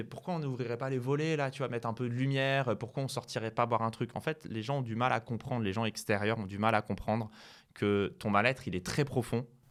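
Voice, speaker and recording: The recording is very clean with a silent background, as a man talks at a middling speed and his pitch varies an ordinary amount. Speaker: chess streamer. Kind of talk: interview. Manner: hesitant, filler-heavy.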